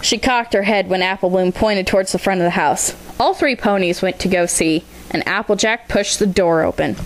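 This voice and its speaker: Over noticeable background noise, a woman talks at a fairly quick pace with very even loudness and ordinary pitch variation. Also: medium pitch for a woman. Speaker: fan fiction reader. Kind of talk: story reading.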